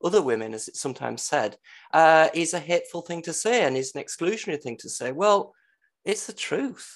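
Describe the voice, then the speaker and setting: Against a quiet background, a man with an English accent speaks in a high pitch with lively intonation. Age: 50s. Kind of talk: casual chat. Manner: halting.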